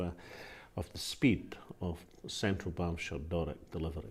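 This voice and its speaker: A man talks at a moderate pace with a Scottish accent. His pitch is very deep and low, and his voice is somewhat breathy. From Linlithgow, West Lothian, Scotland. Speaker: politician, First Minister of Scotland. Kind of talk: interview answer.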